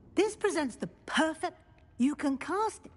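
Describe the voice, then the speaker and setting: Putting on a squeaky character voice, a woman speaks at an extremely high pitch and a fairly slow pace with lively intonation. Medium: video game. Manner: measured, teacherly.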